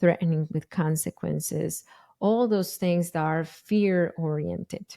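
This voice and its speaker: A woman with a strong Spanish accent and a fairly low pitch is heard in a very clean recording with a silent background and a dry, close sound with no echo. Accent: thick Spanish. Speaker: parenting educator and podcast host. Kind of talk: podcast monologue. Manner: casual, with hesitations and self-corrections.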